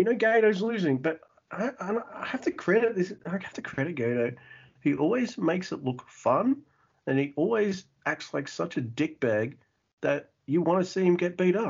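A man speaks with an Australian accent at a high pitch. His pitch swings very widely. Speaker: podcast host. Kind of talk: casual chat. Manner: fast talker.

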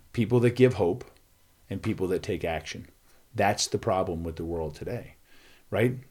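A somewhat breathy man with an American accent speaks at a fairly low pitch. His moderate pace is broken by long, frequent pauses. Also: ordinary pitch variation. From US Northeast, Philadelphia. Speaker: nonprofit founder, school speaker. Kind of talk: casual chat.

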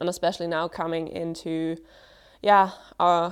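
The background is quiet. A woman speaks at a very slow pace in a fairly low pitch. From Germany. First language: German. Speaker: mission student. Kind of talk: testimony.

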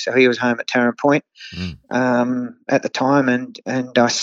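An Australian accent marks this man's medium-pitched voice. His intonation is monotone and flat. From Australia, Hunter Valley NSW. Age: 50s. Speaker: horse trainer. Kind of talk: interview. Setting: remote call. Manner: halting, many fillers.

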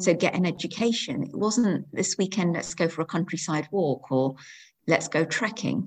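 A woman with a fairly low pitch and vocal fry speaks at a moderate pace. Her pitch variation is ordinary, and the background is quiet. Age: 50s. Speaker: education lecturer. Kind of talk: casual interview.

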